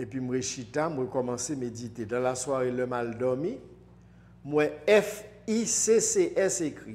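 Speaking very slowly in a Haitian accent, a man uses lively intonation at a medium pitch. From Haiti, Port-au-Prince. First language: Haitian Creole (speaking French). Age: 60s. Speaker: spiritual teacher. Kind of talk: interview. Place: studio. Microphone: lapel.

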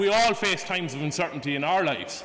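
In an Irish accent, a man talks at a very fast pace in a raised, projected voice. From Ireland. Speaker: student debater. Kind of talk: formal debate speech. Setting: stage with audience. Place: hall. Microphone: podium.

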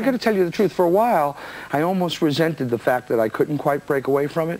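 A man with an American accent at a very fast pace, fairly high in pitch, lively in intonation, over noticeable background noise. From New Jersey, USA. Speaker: singer and songwriter. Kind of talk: interview answer.

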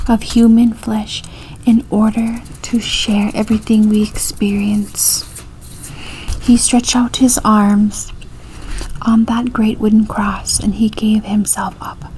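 A soft-spoken woman at a very slow pace, monotone and flat in intonation, over light background noise. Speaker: reader. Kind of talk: reading devotional text aloud. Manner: soft-spoken, hushed reading voice. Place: home room. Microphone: webcam.

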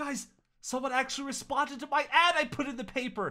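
A man speaks in a cartoonish character voice at extremely high pitch, with a bright, sharp tone. The pace is fairly quick and the intonation fairly even.

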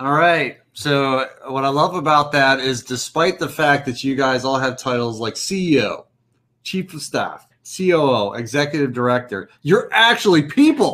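In an American accent, a man speaks fairly slowly, his fairly high voice bright and sharp in tone, with ordinary pitch variation. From Colorado. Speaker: panel moderator. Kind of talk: panel discussion. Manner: animated. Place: home room.

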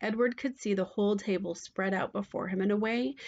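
Text read plainly aloud

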